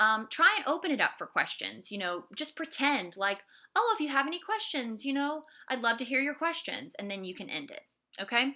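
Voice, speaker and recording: The voice is raised and projected, with a bright, sharp tone, at a fairly quick pace. Its pitch swings very widely, and its loudness swings a lot. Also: woman, high pitch for a woman. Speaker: art instructor. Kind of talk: lecture. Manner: fast; casual, many fillers.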